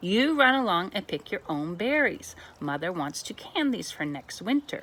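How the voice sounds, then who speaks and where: Putting on a character voice, a woman speaks at a moderate pace in a medium pitch with very wide pitch swings. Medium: read story.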